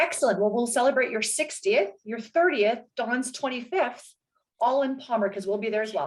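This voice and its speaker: Speaking at a moderate pace, a woman uses a high pitch and an energetic tone. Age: 40s. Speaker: interview guest. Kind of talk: interview.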